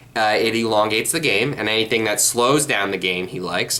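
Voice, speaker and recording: Over noticeable background noise, a man at medium pitch talks at a fairly quick pace with ordinary pitch variation. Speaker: card game youtuber. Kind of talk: casual monologue vlog. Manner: halting, many fillers and repeats.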